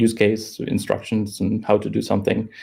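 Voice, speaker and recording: Using a dark, mellow tone with vocal fry, a man speaks at a fairly low pitch and a moderate pace. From Germany. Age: 20s. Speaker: software developer. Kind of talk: interview. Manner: halting.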